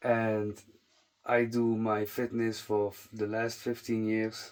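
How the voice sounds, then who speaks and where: A man with a non-native accent speaks at a very slow pace. His medium-pitched voice stays monotone and flat. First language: not English. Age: 30s. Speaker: fitness content creator. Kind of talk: casual monologue to camera. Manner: halting, frequent fillers and restarts.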